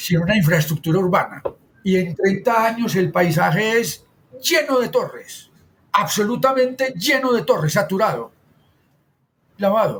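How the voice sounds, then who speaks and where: A man's high-pitched voice with lively intonation and very even loudness, at a fairly slow pace broken by long, frequent pauses. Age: 60s. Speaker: architect and urban planner. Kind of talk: interview conversation.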